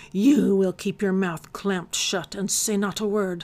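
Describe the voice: A woman puts on a guttural character voice at medium pitch and a moderate pace.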